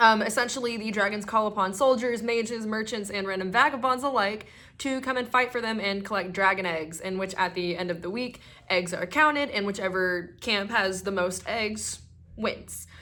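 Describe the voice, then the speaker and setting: Audible room echo surrounds a woman speaking at a medium pitch. Her tone is bright and sharp, with ordinary pitch variation. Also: moderate pace. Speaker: YouTuber and cosplayer. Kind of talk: partly scripted vlog monologue. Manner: hesitant, with stutters and fillers; casual, chatty.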